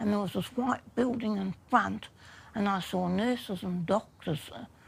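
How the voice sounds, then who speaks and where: The pace here is moderate. The voice carries a New Zealand accent. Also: woman. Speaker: human rights self-advocate. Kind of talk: documentary interview.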